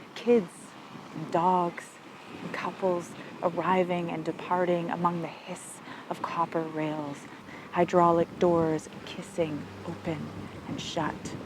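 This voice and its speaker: Speech comes at a very slow pace with long, frequent pauses, monotone, flat intonation and big swings in loudness over noticeable background noise. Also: woman, fairly low pitch for a woman. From Canada. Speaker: poet. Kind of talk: poetry reading. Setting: outdoors.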